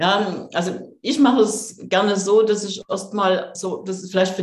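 A woman speaks at a fairly slow pace in a somewhat breathy voice at medium pitch. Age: 50s. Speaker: coach and author. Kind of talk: interview.

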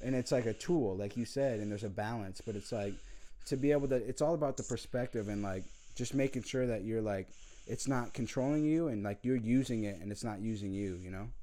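This man has a dark, mellow tone. He talks at a fairly quick pace. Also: medium pitch for a man, ordinary pitch variation. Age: 20s. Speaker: podcast host. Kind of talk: casual chat. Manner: animated.

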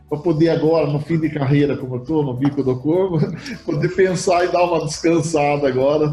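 Against music in the background, a man with a fairly high pitch talks at a fairly quick pace with fairly even intonation. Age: 60s. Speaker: insurance broker, company founder. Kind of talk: interview. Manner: halting, repeats words.

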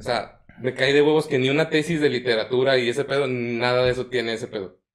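At a fairly quick pace, a man with an ordinary speaking voice talks in a medium pitch with ordinary pitch variation. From Mexico, Puebla. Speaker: podcast host. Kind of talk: casual chat.

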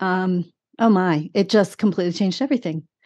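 In a normal speaking voice, a woman with a medium pitch talks at a moderate pace with fairly even intonation against a quiet background. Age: 60s. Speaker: speaker, author and Bible teacher. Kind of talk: testimony.

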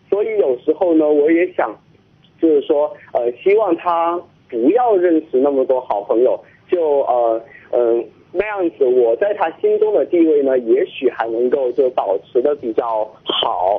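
Speaking at a fairly slow pace, a man uses lively intonation and a fairly high pitch. His loudness stays very even. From Chongqing. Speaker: university student. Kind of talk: phone-in call. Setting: phone call. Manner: halting.

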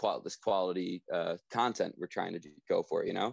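A man with a normal speaking voice and fairly low pitch speaks at a moderate pace in a dry, close sound with no echo. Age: 20s. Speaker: drummer in a pop punk band. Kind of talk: casual interview.

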